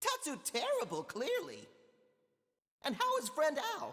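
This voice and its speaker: The voice is a put-on character voice, high in pitch. It moves at a moderate pace. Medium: video game. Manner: stilted, odd grammar.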